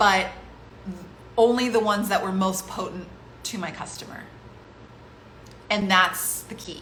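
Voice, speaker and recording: A woman speaks at a medium pitch. Noticeable background noise and audible room echo are present. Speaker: online business coach. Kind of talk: live webinar teaching. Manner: slow, deliberate.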